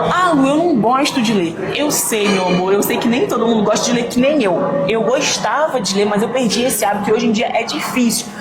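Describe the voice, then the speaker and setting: A woman talks at a fairly quick pace and a fairly high pitch, with lively intonation, very even loudness and hardly any pauses. Noticeable background noise and audible room echo are present. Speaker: fitness and mindset influencer. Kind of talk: casual vlog talk to camera. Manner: varied intonation.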